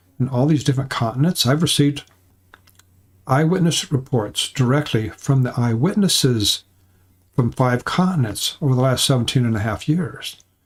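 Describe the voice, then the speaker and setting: A somewhat breathy man with an American accent, medium pitch, ordinary pitch variation and very even loudness. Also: moderate pace. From California. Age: 70s. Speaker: cryptid researcher and channel host. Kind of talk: live stream talk to viewers. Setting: live stream. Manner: halting, with repetitions.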